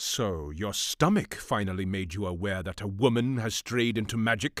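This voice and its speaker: On a very clean recording with a silent background, a man growls in a put-on character voice at a fairly low pitch. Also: moderate pace. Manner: dry, sardonic, commanding.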